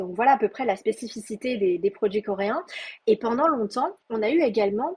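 This woman's voice is fairly high and somewhat breathy, with ordinary pitch variation. She talks at a moderate pace. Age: 30s. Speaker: Korean cosmetics expert. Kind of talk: interview. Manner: halting.

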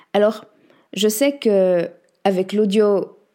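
Very slowly, a woman at a medium pitch speaks in a dark, mellow tone. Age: 30s. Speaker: podcast host and coach. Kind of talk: scripted monologue.

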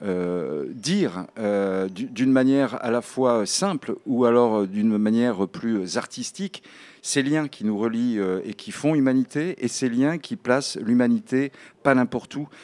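Very slowly, a man speaks at medium pitch with lively intonation. The recording is very clean, the background silent. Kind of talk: interview discussion.

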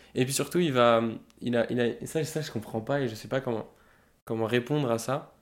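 Medium-pitched male voice with fairly even intonation at a moderate pace, on a very clean recording with a silent background. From Paris, 18th arrondissement. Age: 20s. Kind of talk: casual interview. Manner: halting.

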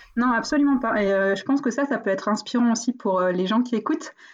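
A woman with an unremarkable speaking voice, fairly high pitch, ordinary pitch variation and a moderate pace, against a quiet background. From northern France, near Valenciennes. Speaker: entrepreneur. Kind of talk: interview. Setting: video call.

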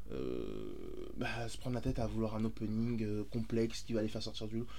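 The speaker is a man at a fairly slow pace. Audible room echo fills the recording. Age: 30s. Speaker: podcast co-host. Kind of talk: casual chat. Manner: animated.

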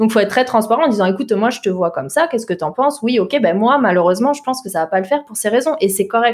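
Talking very fast, a woman at a fairly high pitch uses lively intonation. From southern Alsace, France (Mulhouse). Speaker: tech recruitment entrepreneur. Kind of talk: interview. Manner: energetic.

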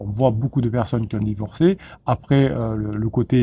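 Somewhat breathy and dark, mellow in tone, the voice moves through ordinary pitch variation. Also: man. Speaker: relationship coach. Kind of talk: video monologue. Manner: fast; halting, repeated words.

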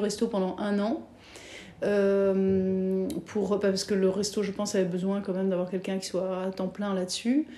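In a medium-pitched, dark and mellow voice, a woman speaks with fairly even intonation. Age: 40s. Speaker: former banker turned entrepreneur. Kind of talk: interview. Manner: hesitant, many fillers.

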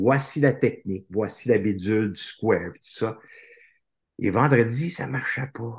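A man speaks at a fairly slow pace in a medium pitch, somewhat breathy. His pitch variation is ordinary, and his loudness swings widely. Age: 50s. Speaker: author and motivational speaker. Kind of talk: casual interview chat.

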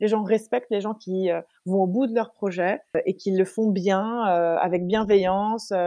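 This woman has a dark, mellow tone at a medium pitch. Her intonation stays fairly even. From Paris, then London from age 13. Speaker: olive grower and entrepreneur. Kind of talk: casual interview chat.

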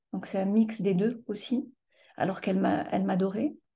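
Against a quiet background, a woman speaks at a moderate pace with fairly even intonation and a dark, mellow, somewhat breathy tone. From France. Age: 50s. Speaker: trauma survivor. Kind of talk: testimony. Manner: halting.

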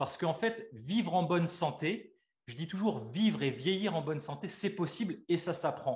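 A man's high voice moves at a moderate pace, its intonation lively. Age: 40s. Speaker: osteopath and life coach. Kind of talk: interview.

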